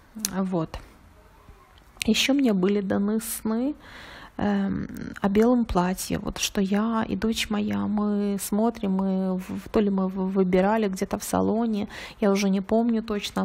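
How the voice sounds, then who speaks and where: A woman speaks at a very slow pace and a medium pitch. Her voice is somewhat breathy, with a monotone, flat intonation. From Ukraine. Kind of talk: testimony. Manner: earnest.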